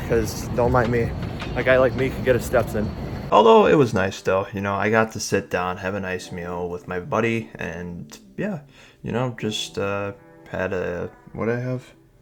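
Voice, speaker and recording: Noticeable background noise sits behind a man who speaks at a moderate pace and medium pitch with an American accent. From Illinois, Chicago area. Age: 20s. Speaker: vlogger. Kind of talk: casual vlog narration. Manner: hesitant, many fillers.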